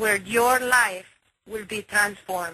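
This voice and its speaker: Speaking in a Spanish accent, a woman sounds enthusiastic, with a fairly high pitch. Her pitch varies in an ordinary way and her pace is fairly slow. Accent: Spanish-accented English (Spanglish). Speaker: online marketing team leader. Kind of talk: motivational conference call talk. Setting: conference call. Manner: enthusiastic, with many filler words.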